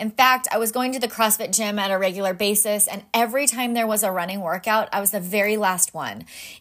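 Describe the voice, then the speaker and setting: This woman speaks at a fairly quick pace. Her pitch is medium, with ordinary variation. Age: 30s. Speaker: life coach. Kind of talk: solo podcast monologue.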